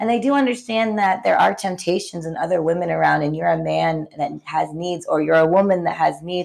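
In an ordinary speaking voice, a woman talks fairly quickly at a fairly low pitch, with lively intonation and hardly any pauses. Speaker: podcast co-host. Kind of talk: casual chat.

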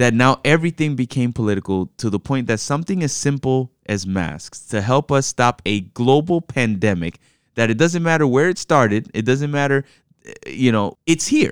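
A man with a normal speaking voice talks at a moderate pace and a medium pitch, with lively intonation. The very clean recording has a silent background and a dry, close sound with no echo. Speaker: pastor and podcast co-host. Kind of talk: casual conversational podcast chat.

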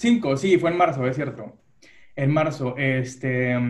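Somewhat breathy, a man talks at a fairly slow pace. His pitch sits in the medium range. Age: 30s. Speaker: human resources worker. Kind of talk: casual chat.

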